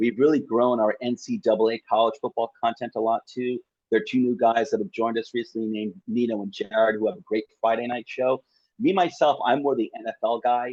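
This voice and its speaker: A man's plain, everyday voice, medium in pitch, at a fairly quick pace with ordinary pitch variation. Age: 50s. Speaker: football podcaster. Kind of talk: casual chat.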